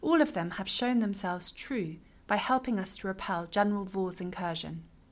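Lively intonation in a plain, everyday voice, moving at a moderate speed. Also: woman. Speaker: fantasy audiobook narrator.

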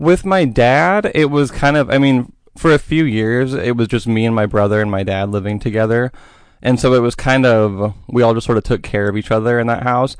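Speaking fairly quickly, a man uses an ordinary speaking voice at a medium pitch. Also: ordinary pitch variation. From Oregon, US. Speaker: podcast guest. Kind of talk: interview.

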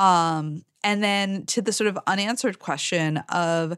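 Against a quiet background, a woman with a normal speaking voice talks at a fairly slow pace and medium pitch with ordinary pitch variation. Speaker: critic and podcast co-host. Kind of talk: casual chat.

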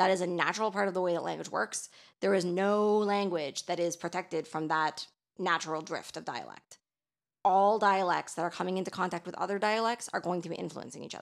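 A woman with a plain, everyday voice and a Canadian accent speaks at a fairly quick pace and medium pitch with fairly even intonation, on a very clean recording with a silent background. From Canada, Toronto. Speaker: podcast co-host. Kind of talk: casual discussion.

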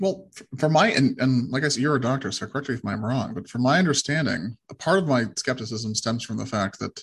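A somewhat breathy man's voice at medium pitch, fairly quick in pace, with ordinary pitch variation. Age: 30s. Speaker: podcast host. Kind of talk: interview. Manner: hesitant, frequent fillers.

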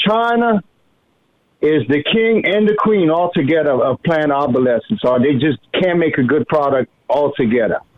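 A man is talking at a moderate pace. His intonation is lively. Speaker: caller. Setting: phone call.

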